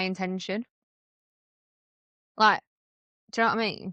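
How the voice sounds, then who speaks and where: Loud and animated, a woman speaks with a bright, sharp tone in a northern English accent, the sound dry and close with no echo. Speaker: podcast co-host. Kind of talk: casual chat.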